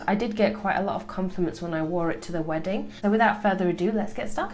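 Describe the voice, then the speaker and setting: With music playing in the background, the woman's medium pitch shows ordinary variation. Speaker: beauty vlogger. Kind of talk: makeup tutorial talk to camera.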